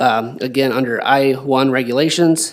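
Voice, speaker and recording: With fairly even intonation, this man's voice stays at a medium pitch. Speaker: city planner. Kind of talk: staff report at public meeting. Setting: city plan commission meeting. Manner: fast. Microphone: too far from the mic.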